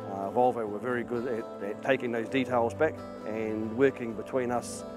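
A man talks at a fairly quick pace with ordinary pitch variation. Clear music plays in the background, and the sound is dry with no echo. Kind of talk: interview answer. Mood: relaxed, positive. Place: forest. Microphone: lapel.

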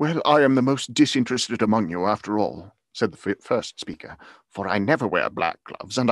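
Over a quiet background, a man speaks at a fairly quick pace in a theatrical, animated tone with very wide pitch swings, and the sound is dry with no echo. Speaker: audiobook narrator. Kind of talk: dramatic reading aloud of a Victorian novel, performed with character voices; dramatic reading of a story. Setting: video call with live online audience. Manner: theatrical, animated, shifting voice for each character. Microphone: studio mic.

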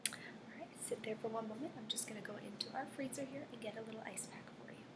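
A soft-spoken woman at a very fast pace amid loud background noise. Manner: soft, reassuring ASMR nurse voice. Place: home room. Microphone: webcam.

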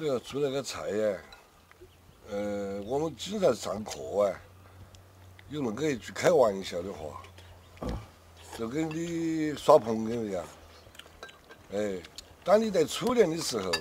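Very slow and marked by long, frequent pauses, a man's speech has big swings in loudness and very wide pitch swings. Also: medium pitch for a man. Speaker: veteran chef. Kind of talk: casual chat.

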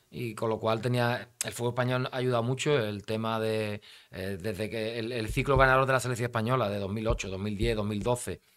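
Against a quiet background, a man talks at a moderate pace with hardly any pauses. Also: fairly even intonation. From Spain, Cádiz; Spain. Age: 50s. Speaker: national football team coach; football coach guest. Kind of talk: interview. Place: studio. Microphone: studio mic.

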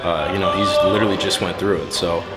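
A man rattles along very fast while loud background noise fills the clip. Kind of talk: interview answer. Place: hall. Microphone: handheld.

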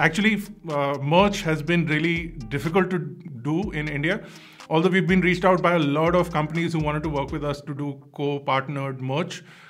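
Over faint background music, a man talks at a fairly quick pace with fairly even intonation. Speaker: tech channel host. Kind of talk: casual vlog chat. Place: studio.

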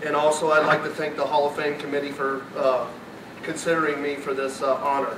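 A man talks at a fairly quick pace with an American accent and a fairly high pitch. His intonation is monotone and flat, over noticeable background noise. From US Midwest. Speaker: former high school athlete. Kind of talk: acceptance speech. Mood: grateful, nostalgic. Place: hall. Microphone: podium.

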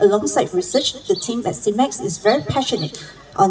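Speaking at a fairly quick pace, a woman is heard over light background noise. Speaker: event MC. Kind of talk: formal speaker introduction. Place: garden. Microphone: handheld.

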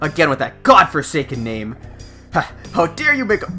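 A strained, put-on character voice at a middle pitch moves at a moderate pace against clear background noise. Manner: indignant, pompous.

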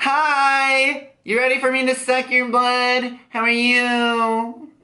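A put-on character voice, monotone and flat, at a very slow pace. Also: man, extremely high pitch for a man. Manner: sinister, inviting.

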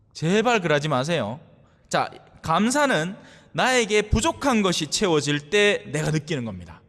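Against a quiet background, a man speaks at a fairly slow pace, his high pitch swinging very widely. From South Korea. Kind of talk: sermon. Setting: church. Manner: conversational. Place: church. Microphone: podium.

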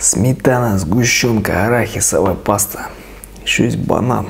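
Ordinary pitch variation in a man's very slow speech. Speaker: food vlogger. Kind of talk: casual vlog chat while eating. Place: home room. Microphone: lapel.

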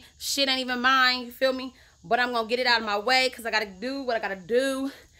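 Raised and projected, the voice moves at a very fast pace with a bright, sharp tone and fairly even intonation. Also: woman. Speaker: vlogger. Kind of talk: casual vlog chat. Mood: frustrated, blunt. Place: garage. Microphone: phone near.

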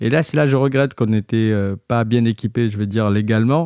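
The recording is very clean with a silent background, a dry, close sound with no echo, and speech at a moderate pace. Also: man. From southwestern France, Montauban area. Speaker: designer and entrepreneur. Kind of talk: interview, casual storytelling.

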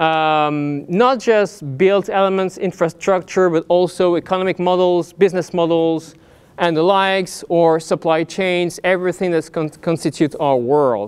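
A man speaks at a moderate pace in a high voice with ordinary pitch variation and hardly any pauses. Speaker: invited lecturer. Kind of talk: lecture. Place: hall. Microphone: lapel.

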